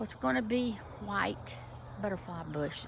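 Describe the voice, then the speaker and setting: A woman talks at a fairly slow pace with audible room echo. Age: 70s. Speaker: gardening vlogger. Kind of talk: casual walkthrough vlog. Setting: outdoors in garden. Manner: halting, with pauses.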